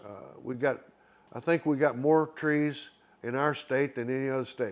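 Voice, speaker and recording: This is a man speaking. He has an Arkansas accent. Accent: Southern US (Arkansas) rural. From Arkansas, US South. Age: 70s. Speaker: retiree vlogger. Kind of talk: casual solo monologue. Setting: indoor club with TV screen. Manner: rambling, halting with fillers.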